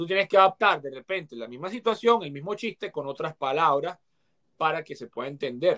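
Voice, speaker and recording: Recorded with a dry, close sound and no echo, a man with a fairly high pitch talks at a fairly quick pace, his bright, sharp tone carrying lively intonation and big swings in loudness. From Venezuela. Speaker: actor and comedian. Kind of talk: casual interview.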